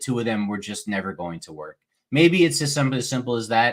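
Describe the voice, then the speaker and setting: On a very clean recording with a silent background, a man with a New York accent talks at a medium pitch with lively intonation and a bright, sharp tone. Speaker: sports podcast co-host. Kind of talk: casual chat.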